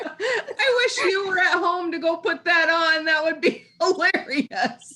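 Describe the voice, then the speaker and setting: A woman in a Minnesotan accent, extremely high-pitched, raised and projected, very slow, with lively intonation and very even loudness. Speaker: podcast co-host. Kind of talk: casual chat.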